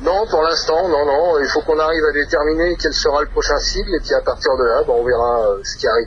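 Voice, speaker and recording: Speech moves at a fairly quick pace with hardly any pauses. Noticeable background noise runs underneath. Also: man. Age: 50s. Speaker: rock guitarist. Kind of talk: interview.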